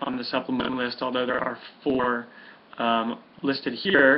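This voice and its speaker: A man speaks at a moderate pace with a medium pitch. Noticeable background noise is heard behind him. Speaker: health coach. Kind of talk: tutorial. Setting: webcam recording with headphones.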